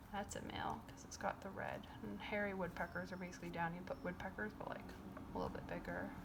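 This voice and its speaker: Soft-spoken and at a moderate pace, the voice comes through noticeable background noise. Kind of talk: casual chatty talk about a book and birds.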